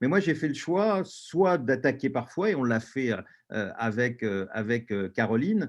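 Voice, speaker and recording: With very wide pitch swings, a man speaks at a fairly slow pace and a medium pitch. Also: quiet background. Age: 60s. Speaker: panelist and LGBT activist. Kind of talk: webinar panel talk. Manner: halting, many hesitations.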